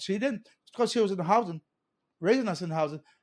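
A man with a Hawaiian accent, animated in tone, with ordinary pitch variation on a very clean recording with a silent background. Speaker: political candidate and community advocate. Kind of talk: casual chat.

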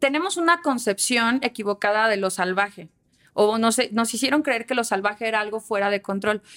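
In an unremarkable speaking voice, a woman talks at a moderate pace with a fairly high pitch and ordinary pitch variation, on a very clean recording with a silent background and a dry, close sound with no echo. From Aguascalientes, Mexico. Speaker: communication consultant. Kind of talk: casual chat.

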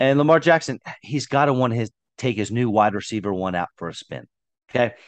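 Heard in a dry, close sound with no echo, a man with a plain, everyday voice talks at a fairly quick pace, with a medium pitch and ordinary pitch variation. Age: 30s. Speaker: fantasy football podcast host. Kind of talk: casual chat.

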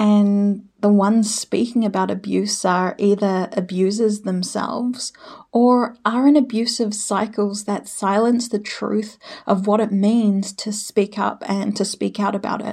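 With a New Zealand accent, a woman talks at a fairly slow pace in a dark, mellow, somewhat breathy tone with monotone, flat intonation. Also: medium pitch for a woman. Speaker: healer and emotion therapist. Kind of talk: solo podcast monologue.

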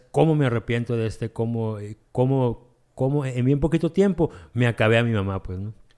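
Speaking at a moderate pace, a man has a medium pitch and a dark, mellow tone with lively intonation. The recording is very clean, with a silent background. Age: 40s. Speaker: recovering addict in AA. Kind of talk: testimony.

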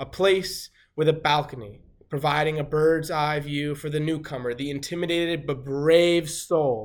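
In a very clean recording with a silent background, a man speaks at a fairly high pitch with fairly even intonation. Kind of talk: spoken-word poem, performed. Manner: earnest, impassioned, persuasive; deliberate, rhythmic, emphatic repetition.

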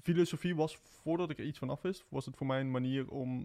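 Talking at a very fast pace, a man keeps a medium pitch and fairly even intonation. His tone is dark and mellow. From southern Netherlands, Eindhoven. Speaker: singer-songwriter, conservatory student. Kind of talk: casual chat.

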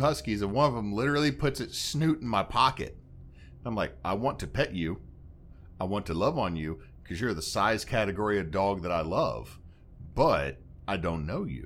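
A fairly quick male voice with vocal fry and very wide pitch swings. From Louisiana. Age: 30s. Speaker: podcast host. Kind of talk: casual chat.

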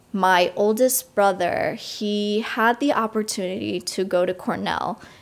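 A woman with an American accent speaks at medium pitch and a fairly slow pace in an ordinary speaking voice. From US Northeast, Long Island, New York. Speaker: college student. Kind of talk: casual interview.

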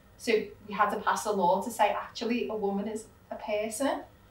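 Amid noticeable background noise and audible room echo, a woman speaks at a moderate pace in a fairly high pitch with fairly even intonation. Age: 30s. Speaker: law firm owner. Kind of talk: interview conversation.

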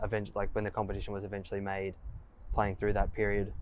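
Flat and monotone in intonation, a man talks in an Australian accent. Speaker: podcast host. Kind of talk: interview. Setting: at a football oval.

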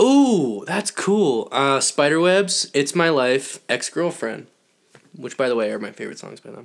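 A man with an American accent, fairly high pitch, very wide pitch swings, big swings in loudness, and a fairly slow pace. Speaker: podcast co-host. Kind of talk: casual chat.

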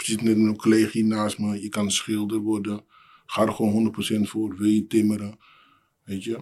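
A man's dark, mellow voice at a moderate pace with monotone, flat intonation, in a very clean recording with a silent background. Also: fairly low pitch for a man. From Amsterdam city centre, born in Suriname. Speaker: building maintenance technician. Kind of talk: casual interview conversation.

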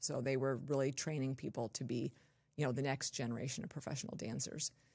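A woman with an American accent speaks in a very deep, low pitch with vocal fry and ordinary pitch variation. The recording is very clean, with a silent background. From Southern California (Torrance, Los Angeles area). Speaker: physician, hypermobility specialist. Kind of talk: interview. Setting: in-person studio.

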